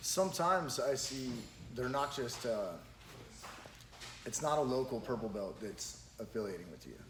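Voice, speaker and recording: A man speaks at a medium pitch and a moderate pace, with lively intonation. His long pauses come often, over noticeable background noise. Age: 30s. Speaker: podcast host and jiu-jitsu school owner. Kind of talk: casual podcast conversation.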